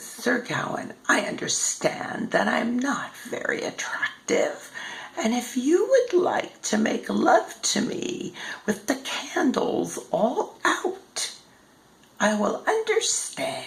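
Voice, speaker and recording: A woman uses a put-on character voice pitched high. She talks at a very slow pace. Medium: read story.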